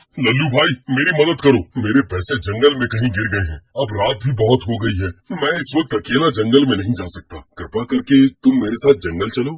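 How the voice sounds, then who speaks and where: Cartoonish character voice at a fairly quick pace. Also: man, medium pitch for a man. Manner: anxious.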